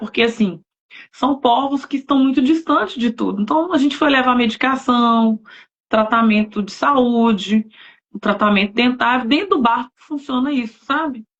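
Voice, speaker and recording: At a moderate pace, a woman with fairly high pitch uses ordinary pitch variation in a normal speaking voice. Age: 40s. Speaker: novelist, missionary. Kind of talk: casual chat. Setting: live stream.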